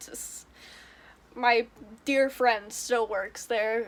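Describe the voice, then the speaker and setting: A woman is speaking. Her voice is high. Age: 20s. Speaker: YouTuber. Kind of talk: casual vlog monologue. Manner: animated; loud.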